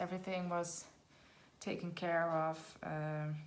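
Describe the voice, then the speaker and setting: A fairly low-pitched woman at a very slow pace, with audible room echo. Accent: Dutch. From Netherlands. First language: Dutch. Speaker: budgeting vlogger. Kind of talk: casual tutorial vlog.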